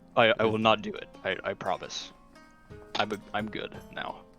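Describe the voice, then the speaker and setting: A put-on character voice at a fairly slow pace over clear music in the background. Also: man, medium pitch for a man. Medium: actual play. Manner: polite, formal.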